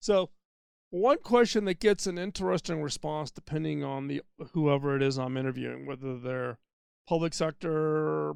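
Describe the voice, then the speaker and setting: In a very clean recording with a silent background, a man with an unremarkable speaking voice talks at a fairly high pitch and a moderate pace. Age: 60s. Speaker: podcast host. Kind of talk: solo podcast monologue. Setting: mobile studio. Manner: conversational with fillers.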